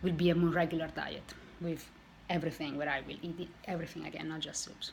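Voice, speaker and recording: Amid noticeable background noise and audible room echo, a woman with a non-native accent talks very fast at a fairly low pitch in a monotone, flat way. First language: not English. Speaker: weight loss vlogger. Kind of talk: casual vlog monologue. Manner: halting, with self-corrections.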